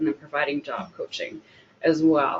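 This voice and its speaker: A woman with a plain, everyday voice talks at a moderate pace with fairly even intonation. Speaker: job coach. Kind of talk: webinar presentation. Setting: online event.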